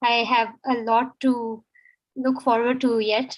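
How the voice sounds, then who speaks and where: A high-pitched woman with a Pakistani accent talks at a very slow pace on a very clean recording with a silent background. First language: Urdu. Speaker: student of international relations. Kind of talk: impromptu speech. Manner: halting.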